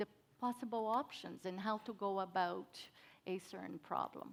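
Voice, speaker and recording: Speaking at a medium pitch with ordinary pitch variation, a woman talks with a Brazilian Portuguese accent. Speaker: cybersecurity professional. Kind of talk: panel discussion.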